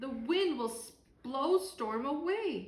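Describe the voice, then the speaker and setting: Using a put-on character voice, a woman speaks at a high pitch and a fairly slow pace. An echo is audible. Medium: read story.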